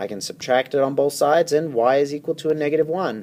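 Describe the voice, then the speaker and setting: An unremarkable speaking voice moves at a moderate pace, with ordinary pitch variation. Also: man. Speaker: math teacher. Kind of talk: tutorial.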